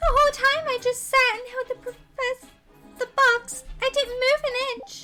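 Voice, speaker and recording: A put-on, squeaky character voice, female-sounding and extremely high, at a moderate pace. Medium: game stream. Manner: earnest, emotional.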